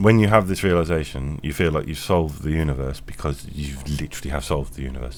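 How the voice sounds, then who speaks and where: Amid audible room echo, a man with a very deep, low pitch talks at a very fast pace with ordinary pitch variation. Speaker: podcaster. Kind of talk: philosophical monologue. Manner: halting.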